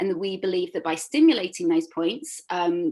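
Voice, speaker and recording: A woman at medium pitch with a London accent, ordinary pitch variation and a moderate pace. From London, England. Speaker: reflexologist. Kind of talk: interview. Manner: hesitant, many fillers.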